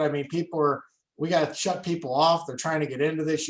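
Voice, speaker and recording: This is a man speaking. His pitch is high. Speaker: seminar presenter. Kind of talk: online seminar wrap-up. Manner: fast.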